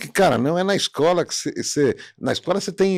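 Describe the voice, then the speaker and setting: A man talks at a moderate pace. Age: 60s. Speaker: podcast host. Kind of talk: casual chat. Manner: animated.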